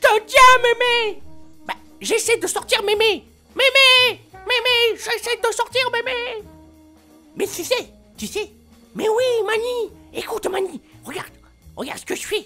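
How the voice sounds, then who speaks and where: Putting on a character voice, a man speaks at an extremely high pitch with a whiny tone, a moderate pace and long, frequent pauses while faint music plays in the background. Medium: solo performance.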